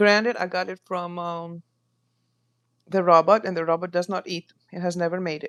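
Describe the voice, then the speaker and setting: In a Greek accent, a woman speaks at a moderate pace with long, frequent pauses, her fairly low voice flat and monotone, the sound dry and close with no echo. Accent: Greek accent, persistent. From Greece. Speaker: home cook streamer. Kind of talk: live cooking stream chat. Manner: casual, chatty.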